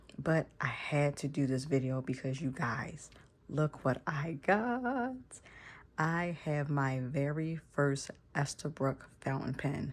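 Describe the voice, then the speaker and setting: A woman's very deep, low voice at a very slow pace, with ordinary pitch variation, on a very clean recording with a silent background. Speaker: stationery YouTuber. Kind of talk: casual vlog talk. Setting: home bedroom. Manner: quiet, kept low to not wake kids; chatty, many fillers.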